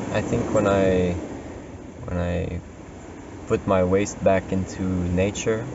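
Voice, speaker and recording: A man's voice, dry sound with no echo, noticeable background noise. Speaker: vlogger living in nature. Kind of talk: casual vlog chat. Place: open country. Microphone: camera far.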